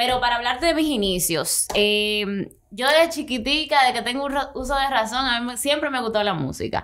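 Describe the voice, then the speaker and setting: A woman speaks at a moderate pace in a high pitch. She barely pauses at all. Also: ordinary pitch variation, quiet background. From Dominican Republic. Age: 20s. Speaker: singer; podcast guest. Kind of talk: interview. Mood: relaxed, friendly. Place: studio. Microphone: studio mic.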